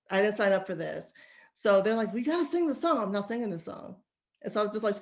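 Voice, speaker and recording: Her tone animated and her intonation lively, a woman with a fairly high pitch speaks at a very fast pace. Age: 40s. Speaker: podcast co-host. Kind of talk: casual chat. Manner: animated storytelling.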